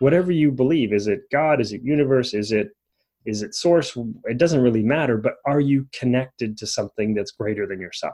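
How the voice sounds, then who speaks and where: A man's dark, mellow voice at a medium pitch, with lively intonation and a fairly quick pace. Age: 40s. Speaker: life coach podcast host. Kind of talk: solo podcast monologue. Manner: casual with frequent fillers.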